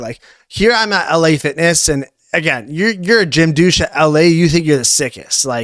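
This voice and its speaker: A plain, everyday voice with a Canadian accent, lively intonation and a moderate pace. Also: man. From Canada, Ontario (Newmarket, Toronto area). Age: 20s. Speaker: fitness coach. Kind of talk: podcast interview. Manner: casual, filler-heavy.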